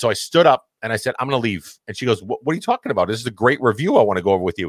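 Speaking very fast with an American accent, a man keeps a medium pitch and lively intonation. The sound is dry and close, without echo. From Massachusetts. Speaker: podcast host. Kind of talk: casual interview chat. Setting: online podcast. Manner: loud.

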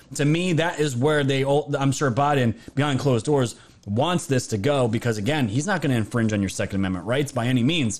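A man speaks in an ordinary speaking voice at a fairly quick pace. His medium pitch shows ordinary pitch variation. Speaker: livestream host. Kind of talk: casual livestream chat about news and politics. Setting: live stream online.

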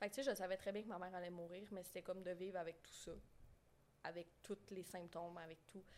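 The woman's voice sits at medium pitch. Her intonation is monotone and flat. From Quebec, moved from southern France as a child in 2001. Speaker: guest with complex borderline personality disorder. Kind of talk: personal testimony in casual chat. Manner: halting.

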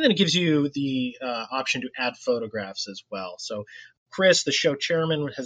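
A man speaks at a moderate pace with a normal speaking voice, medium in pitch with ordinary pitch variation, recorded dry and close with no echo against a quiet background. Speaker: model show organizer. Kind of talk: casual podcast segment.

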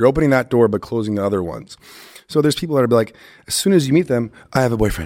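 In an American accent, a man talks at a very fast pace and a medium pitch, his intonation lively. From US West Coast, Los Angeles. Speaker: former football player turned breathwork facilitator. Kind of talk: casual chat.

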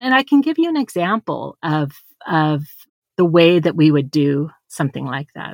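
With a very deep, low pitch, a woman speaks at a moderate pace with lively intonation in a dry, close sound with no echo. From small rural community. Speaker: business and leadership coach. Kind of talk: interview conversation.

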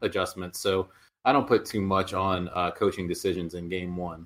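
On a very clean recording with a silent background, a man speaks at a moderate pace with a very deep, low pitch. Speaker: sports blogger.

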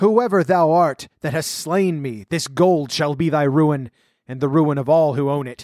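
Here a man puts on a character voice. He talks at a moderate pace, fairly high in pitch. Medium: read story. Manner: solemn, menacing, archaic speech.

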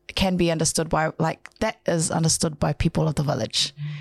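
A woman's animated voice, dry and close with no echo, on a very clean recording against a silent background. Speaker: radio co-host. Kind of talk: casual chat.

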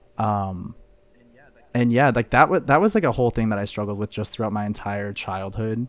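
In a plain, everyday voice, a man talks at a fairly quick pace with fairly low pitch and ordinary pitch variation, recorded very cleanly against a silent background. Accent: American. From Missouri, St. Louis suburbs. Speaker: college student. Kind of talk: casual chat.

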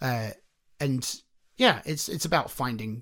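The voice belongs to a man. He speaks with a British accent. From UK. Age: 30s. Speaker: singer-songwriter. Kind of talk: casual chat.

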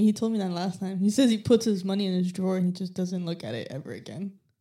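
A woman with an American accent talks at a very fast pace with hardly any pauses, her dark, mellow tone sitting at a medium pitch, with ordinary pitch variation and big swings in loudness. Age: 20s. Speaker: detailing employee. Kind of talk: casual chat. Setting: studio.

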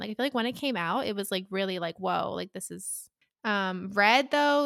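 A woman talks at a very fast pace with vocal fry and lively intonation. The recording is very clean, with a silent background and a dry, close sound with no echo. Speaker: podcast host. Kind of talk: casual chat.

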